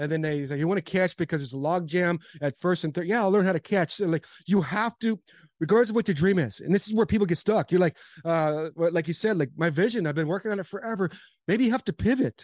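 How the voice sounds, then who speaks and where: Over a quiet background, a man with a high voice and an animated tone talks at a very fast pace with ordinary pitch variation, the sound dry and close with no echo. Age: 40s. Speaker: former pro baseball player, motivational speaker. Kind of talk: podcast interview.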